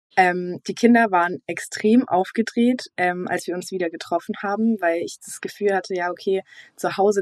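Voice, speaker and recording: A woman talks in a plain, everyday voice at a medium pitch. Her moderate pace comes through as a dry, close sound with no echo. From Swabia, near Stuttgart. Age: young. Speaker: recent school graduate. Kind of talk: recorded testimony.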